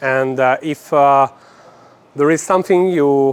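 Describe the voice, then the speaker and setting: Over noticeable background noise, a man talks at a fairly slow pace and medium pitch, with ordinary pitch variation and a dry, close sound with no echo. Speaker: gymnastics coach. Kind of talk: lecture. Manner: halting, many fillers.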